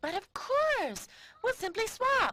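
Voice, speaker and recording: This squeaky, put-on character voice sits at an extremely high pitch. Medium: cartoon.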